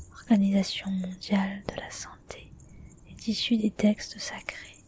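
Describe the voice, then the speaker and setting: Whispering at a very slow pace comes through noticeable background noise. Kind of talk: whispered book reading, ASMR relaxation. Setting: ASMR recording for relaxation. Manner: whispered.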